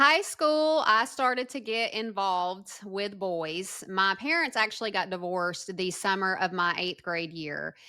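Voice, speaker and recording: A bright, sharp voice in a strong Southern US accent, lively intonation, fairly slow pace and hardly any pauses, on a very clean recording with a silent background. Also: woman, medium pitch for a woman. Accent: thick Southern. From US South, northwest Georgia. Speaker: former prisoner, advocate. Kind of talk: interview testimony.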